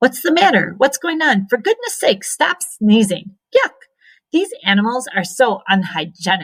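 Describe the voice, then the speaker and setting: Loud and squeaky, a woman does a put-on character voice at a high pitch and a moderate pace. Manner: loud, disgusted.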